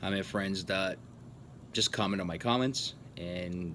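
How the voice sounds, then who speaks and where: A man with a fairly low pitch, fairly even intonation and a moderate pace. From Portugal, moved to US at twelve. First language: Portuguese. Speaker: YouTuber. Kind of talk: Q&A vlog. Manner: casual, hesitant with fillers.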